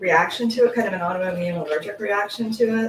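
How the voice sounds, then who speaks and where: Moderately paced speech from a woman, with noticeable background noise. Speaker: small yarn business owner. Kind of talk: tutorial. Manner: casual, with fillers.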